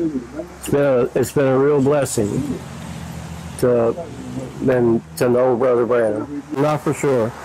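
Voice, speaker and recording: A man with an American accent at a very slow pace, long, frequent pauses, very even loudness and fairly even intonation, over noticeable background noise. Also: medium pitch for a man. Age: 70s. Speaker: church member. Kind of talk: interview.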